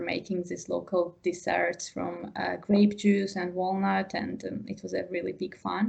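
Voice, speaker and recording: A woman keeps a moderate pace, with noticeable noise in the background. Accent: Georgian. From Georgia. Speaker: wine tourism professional. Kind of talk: interview. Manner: halting.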